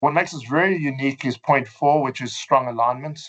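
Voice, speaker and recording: A man with a South African accent. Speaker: fund manager. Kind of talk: webinar presentation. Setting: online webinar. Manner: hesitant, many fillers.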